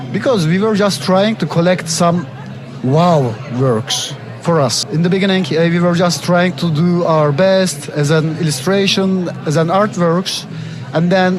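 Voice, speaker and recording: A man with a Turkish accent talks at a moderate pace, his high pitch showing ordinary variation. Noticeable background noise and audible room echo surround him. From Istanbul, Turkey. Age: 30s. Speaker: artist, zine publisher and curator. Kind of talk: interview. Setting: art book fair. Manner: slightly halting.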